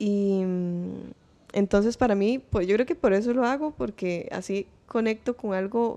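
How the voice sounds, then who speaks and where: A woman with a dark, mellow tone speaks at a fairly slow pace. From Costa Rica, Pérez Zeledón (San Isidro del General); Costa Rica. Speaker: singer-songwriter, multi-instrumentalist; podcast guest. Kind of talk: casual interview. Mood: relaxed, reflective. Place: studio. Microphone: studio mic.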